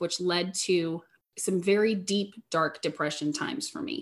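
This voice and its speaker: A woman speaks in a normal speaking voice at a medium pitch and a moderate pace, with ordinary pitch variation. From Southeast Missouri, US. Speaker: life coach. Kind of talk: interview testimony.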